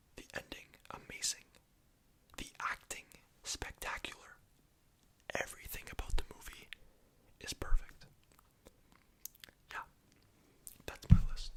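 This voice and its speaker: A man whispering at a fairly slow pace, with long, frequent pauses and big swings in loudness. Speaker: ASMR youtuber. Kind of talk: casual ASMR movie ranking monologue.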